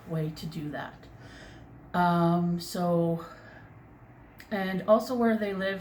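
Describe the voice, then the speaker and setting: With a Canadian accent, a woman speaks very slowly at a fairly low pitch and fairly even intonation, and audible room echo can be heard. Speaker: crochet vlogger. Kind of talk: casual chat. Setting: home bedroom. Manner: loud. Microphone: far from the mic.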